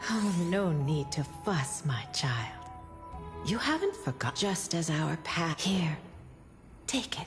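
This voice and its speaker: A put-on character voice speaks at a middle pitch and fairly slow pace. Music plays clearly in the background. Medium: game stream. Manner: gentle, solemn.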